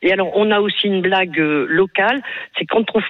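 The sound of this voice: Speech moves at a fairly quick pace. The pitch varies in an ordinary way. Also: woman.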